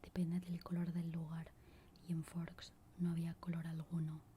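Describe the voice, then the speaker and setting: Everything is whispered. The pace is fairly slow. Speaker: ASMR creator. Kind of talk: whispered book reading.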